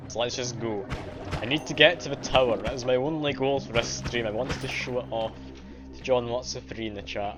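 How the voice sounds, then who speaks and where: Over music in the background, a man with a slight Scottish accent speaks at a fairly quick pace with fairly even intonation. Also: medium pitch for a man. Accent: mild Scottish. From Scotland. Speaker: game streamer. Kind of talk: live gameplay commentary. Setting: live stream. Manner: casual.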